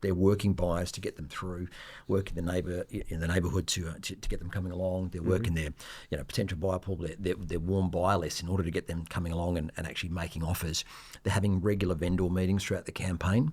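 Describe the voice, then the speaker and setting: A man talks at a very fast pace in a flat monotone, his pitch very deep and low. The recording is very clean with a silent background. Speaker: auctioneer. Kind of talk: podcast interview answer.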